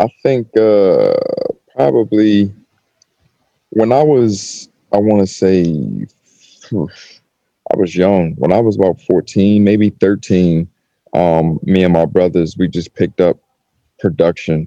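Slow and fairly even in intonation, the voice has a dark, mellow tone, long and frequent pauses, and a dry, close sound with no echo. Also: man, low pitch for a man.

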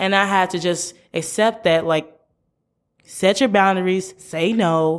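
A woman with an American accent and a normal speaking voice talks at a fairly slow pace in a medium pitch, her intonation fairly even. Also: very clean recording, silent background. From US Midwest, St. Louis, Missouri. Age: 20s. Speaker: university student and podcaster. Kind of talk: casual interview chat.

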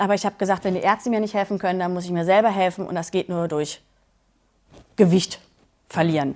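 A woman with a medium pitch talks at a very fast pace, yet with long, frequent pauses. Her intonation stays fairly even. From Berlin, Germany. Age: 40s. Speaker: coaching client. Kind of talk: interview testimony.

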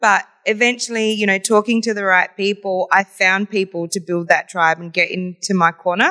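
With an Australian accent, a woman talks in a bright, sharp tone with fairly even intonation and hardly any pauses. The sound is dry and close, with no echo. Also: medium pitch for a woman, moderate pace. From Adelaide, South Australia. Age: young. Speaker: entrepreneur and community leader. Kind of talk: interview.

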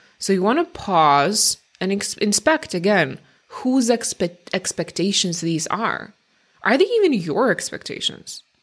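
With a non-native accent, a woman speaks at a medium pitch and a fairly slow pace, her pitch swinging very widely. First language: not English. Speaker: career change coach and podcast host. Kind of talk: solo podcast monologue. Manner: conversational.

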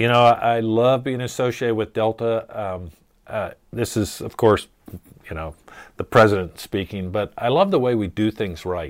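A man with a normal speaking voice and an American accent, medium in pitch, at a moderate pace. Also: ordinary pitch variation, very clean recording, silent background. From US Mid-Atlantic, Maryland (Chesapeake Bay). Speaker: wildlife biologist. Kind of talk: casual chat.

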